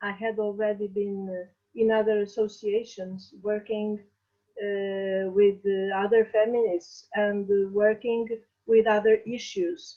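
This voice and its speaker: Very slow speech from a woman with a fairly high pitch. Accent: Portuguese. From Portugal. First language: Portuguese. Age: 60s. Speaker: feminist activist. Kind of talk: interview. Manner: halting, many fillers.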